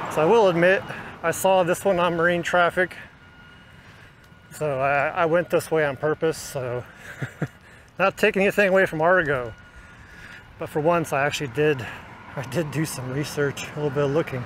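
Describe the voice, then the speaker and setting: A man's voice at a moderate pace with long, frequent pauses, ordinary pitch variation, and a dry sound with no echo over light background noise. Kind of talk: casual vlog commentary. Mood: relaxed, amused. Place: street. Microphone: phone near.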